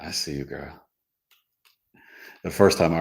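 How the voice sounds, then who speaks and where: Vocal fry runs through this man's speech, in an American accent. There is audible room echo around him. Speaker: astrologer. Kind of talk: casual teaching livestream. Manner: animated.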